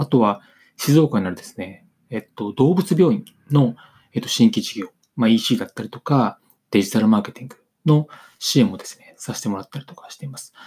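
A man speaks at a medium pitch with a somewhat breathy, dark and mellow tone. His pitch swings very widely, and the sound is dry and close with no echo. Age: 40s. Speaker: business consultant podcaster. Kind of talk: solo podcast monologue. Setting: home recording on camera. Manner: halting, many fillers; reading from script.

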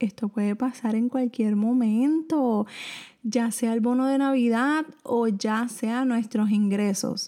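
A woman speaks very slowly in a Puerto Rican accent. Her voice is fairly high, dark and mellow, with ordinary pitch variation. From Puerto Rico. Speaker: personal finance podcaster. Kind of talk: solo podcast monologue, financial advice. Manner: casual, conversational with fillers.

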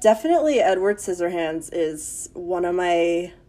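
A woman talks at a fairly slow pace with a medium pitch. She has an unremarkable speaking voice. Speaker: podcast guest. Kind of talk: casual chat.

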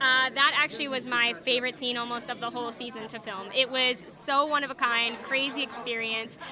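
Over noticeable background noise, a high-pitched woman speaks at a fairly quick pace with hardly any pauses and fairly even intonation. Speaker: actor. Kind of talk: casual interview.

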